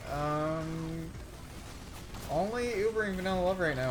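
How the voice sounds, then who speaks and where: A man's intonation is lively, with noticeable noise in the background. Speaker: esports match shoutcaster. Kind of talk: live game shoutcast commentary. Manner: casual, joking banter.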